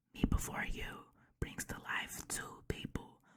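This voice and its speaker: Whispering at a very slow pace, a woman speaks in a relaxed tone. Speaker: ASMR creator. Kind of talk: reading a book blurb and chatting casually, ASMR style. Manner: soft, relaxed.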